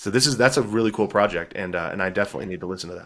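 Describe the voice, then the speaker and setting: A man with a Texan accent talks at a fairly low pitch with ordinary pitch variation. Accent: Texan American English. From Texas. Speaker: author. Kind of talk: interview.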